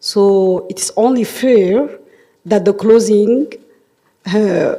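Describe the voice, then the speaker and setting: With a French accent, a woman speaks at a very slow pace in a fairly high pitch. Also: ordinary pitch variation. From Djibouti. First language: not English; French among her languages. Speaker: government official, workshop chair. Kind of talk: formal closing speech. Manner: formal.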